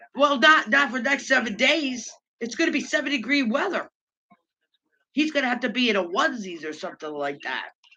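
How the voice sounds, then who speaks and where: The voice is loud. It moves at a fairly quick pace. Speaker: livestream host. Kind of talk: casual chat.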